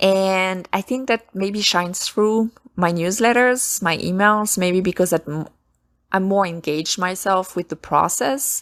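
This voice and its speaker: A woman with a French accent speaks at a fairly slow pace in a medium pitch with ordinary pitch variation, in a very clean recording with a silent background and a dry, close sound with no echo. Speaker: self-published author and podcast host. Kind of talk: casual solo podcast talk. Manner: halting, frequent self-corrections.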